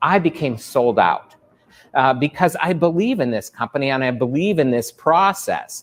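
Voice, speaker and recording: A fairly high-pitched man speaks at a fairly slow pace with lively intonation. Music plays in the background. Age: 60s. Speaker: physician. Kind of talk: promotional testimonial. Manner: halting with frequent fillers.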